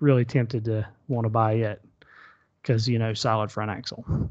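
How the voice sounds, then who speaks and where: Over a quiet background, a man with an unremarkable speaking voice talks at a medium pitch and a moderate pace. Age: 40s. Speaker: podcast host. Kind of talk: casual chat.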